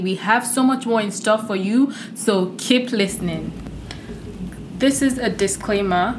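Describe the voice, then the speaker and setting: Amid noticeable background noise and audible room echo, a woman speaks at a fairly slow pace with a fairly high pitch and fairly even intonation. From Nigeria. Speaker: podcast co-host, international student. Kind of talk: scripted disclaimer; casual chat.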